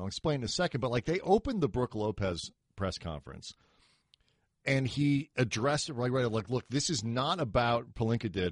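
A man at medium pitch, an ordinary speaking voice with lively intonation, fairly quick pace, quiet background. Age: 40s. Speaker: sports podcast host. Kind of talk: casual chat.

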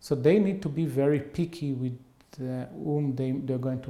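This man has an Israeli accent. His pitch varies in an ordinary way. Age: 50s. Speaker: behavioral economics professor. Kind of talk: interview.

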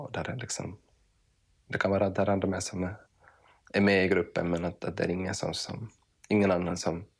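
Over a very clean recording with a silent background, a man with a very deep, low pitch talks at a fairly quick pace in a monotone, flat intonation broken by long, frequent pauses. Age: 30s. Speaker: podcast host. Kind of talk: casual interview conversation. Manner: halting, many repetitions.

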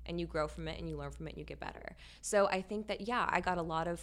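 This woman talks at a very fast pace. She has an American accent. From Louisiana, US South. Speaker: fashion designer. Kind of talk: interview. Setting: studio. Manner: animated.

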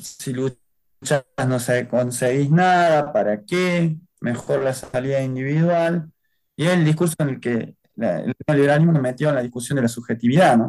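A man's fairly high voice, an unremarkable speaking voice, carries ordinary pitch variation and a moderate pace. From Argentina, Córdoba. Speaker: human rights activist. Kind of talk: interview testimony.

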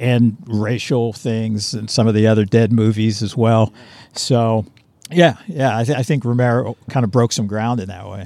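Here is a man with an ordinary speaking voice at a medium pitch. He keeps a moderate pace and fairly even intonation. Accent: American. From Pittsburgh, Pennsylvania. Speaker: film director. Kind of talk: casual interview. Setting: outdoors on location.

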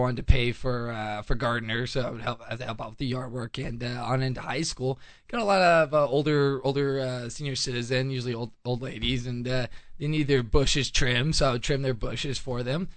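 A man with a plain, everyday voice talks at a moderate pace, hardly pausing, over a quiet background. His pitch is medium and his intonation fairly even. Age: young. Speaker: gardener and landscaper. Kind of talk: gardening tutorial. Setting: studio.

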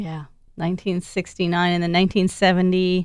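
A woman talks with an American accent at medium pitch. Her pace is moderate. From Wisconsin, US. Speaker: podcast interviewer. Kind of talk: casual interview.

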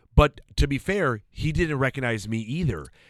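Speaking with lively intonation, a man uses a normal speaking voice at a fairly high pitch. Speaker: comedian and impressionist. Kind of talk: casual chat.

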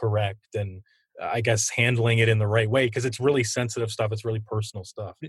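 Against a quiet background, a man with a fairly low pitch speaks at a fairly quick pace in a somewhat breathy, monotone, flat delivery. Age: 30s. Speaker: sports podcast host. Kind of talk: interview.

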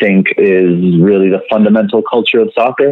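This is a man with a normal speaking voice, pitched fairly low. He talks at a moderate pace with ordinary pitch variation. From Venezuela and Canada. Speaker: soccer blogger. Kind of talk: interview.

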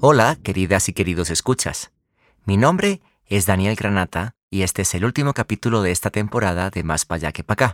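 A man's fairly low voice at a moderate pace, ordinary pitch variation, very clean recording with a silent background and a dry, close sound with no echo. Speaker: podcast host. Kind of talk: scripted narration.

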